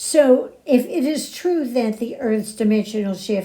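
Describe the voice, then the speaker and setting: Somewhat breathy and dark, mellow in tone, a woman's voice moves at a moderate pace with ordinary pitch variation. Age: 90s. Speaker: podcast host. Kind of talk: spiritual talk.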